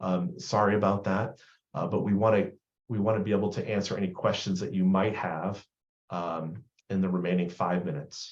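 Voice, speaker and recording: A man with an American accent speaks at a fairly quick pace in a fairly low voice. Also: fairly even intonation. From US Northeast. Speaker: vendor product presenter. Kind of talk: product demo and Q&A.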